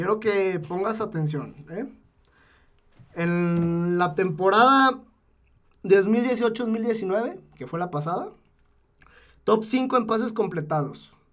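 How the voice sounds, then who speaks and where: Speaking at a very slow pace with long, frequent pauses, this man has a high pitch and ordinary pitch variation. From Zacatecas, Mexico. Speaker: football podcast co-host. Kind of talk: casual sports chat.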